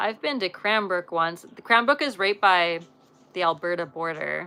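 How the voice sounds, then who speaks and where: In a western Canadian accent, a woman with a bright, sharp tone speaks at a moderate pace, her intonation lively and her loudness swinging widely. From western Canada. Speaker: live streamer, former pro show jumper. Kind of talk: casual live stream chat. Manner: animated.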